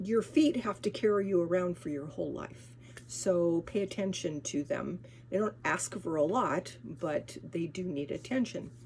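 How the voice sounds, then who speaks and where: With an American accent, a woman talks at a moderate pace in a fairly low, somewhat breathy voice whose pitch swings very widely. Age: 70s. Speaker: lifestyle vlogger. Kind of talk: casual vlog talk. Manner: halting, many restarts and fillers.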